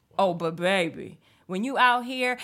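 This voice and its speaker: In a very clean recording with a silent background, a woman with an American accent sounds animated, her tone bright and sharp. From Northern California. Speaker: comedic performer. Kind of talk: casual chat.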